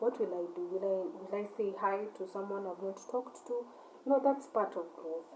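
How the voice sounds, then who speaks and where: A non-native accent at a moderate pace, with ordinary pitch variation and noticeable background noise. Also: woman, medium pitch for a woman. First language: not English. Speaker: vlogger, shop owner. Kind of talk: casual monologue rant. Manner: halting, repetitive.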